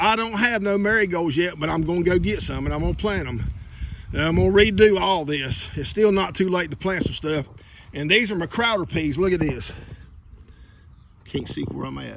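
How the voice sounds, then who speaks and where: A man's high-pitched voice with a Southern US accent and ordinary pitch variation at a moderate pace, with audible room echo and noticeable background noise. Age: 60s. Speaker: gardening vlogger. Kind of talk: casual garden walkthrough vlog. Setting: outdoors in garden. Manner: casual and chatty.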